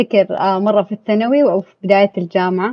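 A plain, everyday voice from a woman, medium in pitch, at a fairly quick pace with ordinary pitch variation. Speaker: podcast guest. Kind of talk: casual chat.

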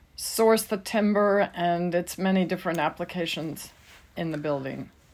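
A woman with an unremarkable speaking voice talks at a fairly slow pace, with a medium pitch and ordinary pitch variation, in a very clean recording with a silent background. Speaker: podcast co-host and editor. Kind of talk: scripted intro and interview questions.

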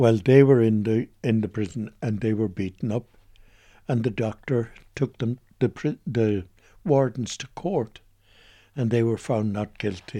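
Speaking fairly slowly in a West Clare accent, a man leaves long, frequent pauses. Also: medium pitch for a man, ordinary pitch variation. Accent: Irish (West Clare). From Ireland, County Clare. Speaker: retired priest. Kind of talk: radio interview.

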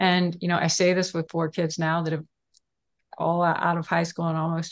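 This is a woman with an American accent and an unremarkable speaking voice. Her pitch is fairly low and her pace fairly quick. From Texas, Houston. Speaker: author and food activist co-host. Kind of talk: casual interview chat. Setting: video call livestream.

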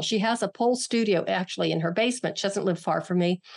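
A woman has an unremarkable speaking voice with an American accent. Her medium-pitched delivery has lively intonation. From western Pennsylvania, near Pittsburgh. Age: 60s. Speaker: martial artist and author. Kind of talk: interview conversation.

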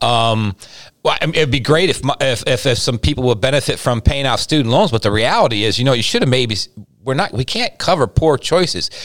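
An unremarkable speaking voice from a man, medium-pitched, with lively intonation at a fairly quick pace. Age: 50s. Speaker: pastor and podcast co-host. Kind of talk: casual chat.

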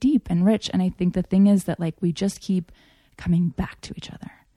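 In a very clean recording with a silent background, a woman speaks at a medium pitch with a dark, mellow tone and a somewhat breathy quality. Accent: American. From Japan (Tokyo), American missionary family. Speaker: interview guest. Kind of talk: casual chat.

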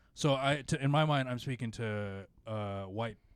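A man speaks in a plain, everyday voice at medium pitch and a fairly slow pace, with ordinary pitch variation, in a very clean recording with a silent background. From Filipino-American. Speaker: podcast host and stand-up comedian. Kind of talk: casual chat.

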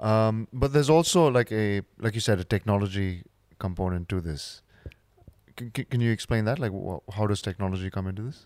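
A man with a plain, everyday voice talks at a fairly quick pace in a fairly low pitch with ordinary pitch variation, the sound dry and close with no echo. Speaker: podcast host. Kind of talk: casual interview chat. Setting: recording with microphones at home.

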